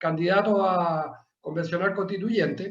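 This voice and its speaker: With audible room echo around him, a man speaks at a high pitch using fairly even intonation. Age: 60s. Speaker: political candidate, businessman. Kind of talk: self-introduction in panel.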